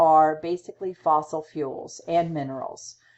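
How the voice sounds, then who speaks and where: Using an ordinary speaking voice, a woman talks at a fairly slow pace with a fairly low pitch and fairly even intonation. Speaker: college instructor. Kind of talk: lecture.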